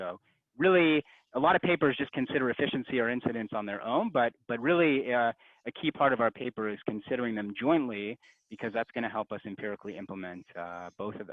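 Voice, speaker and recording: At a very fast pace, a man talks in a medium pitch with lively intonation. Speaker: economics researcher presenting a paper. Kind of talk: academic conference talk.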